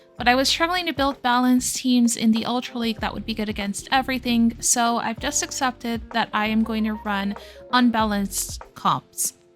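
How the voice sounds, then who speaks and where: Music plays in the background. The speech has hardly any pauses and ordinary pitch variation. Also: woman, fairly high pitch for a woman, moderate pace. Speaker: gaming YouTuber. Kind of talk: gameplay commentary. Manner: casual, conversational.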